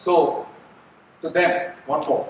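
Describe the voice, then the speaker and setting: A man speaks with an Indian accent. There is noticeable background noise. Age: 70s. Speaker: NGO executive. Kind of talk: speech to staff. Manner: halting.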